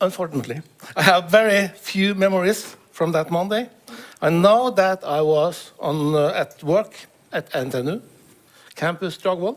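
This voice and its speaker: This man has a high-pitched voice with ordinary pitch variation and talks at a moderate pace. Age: 60s. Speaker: professor sharing patient experience. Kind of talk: testimony. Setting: stage with audience. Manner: reading from a manuscript; halting, many fillers.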